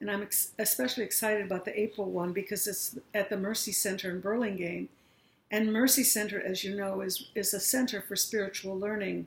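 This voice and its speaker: The speaker is somewhat breathy, talking at a fairly quick pace with fairly even intonation on a very clean recording with a silent background. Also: woman, medium pitch for a woman. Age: 60s. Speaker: aging workshop facilitator. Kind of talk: talk to an audience.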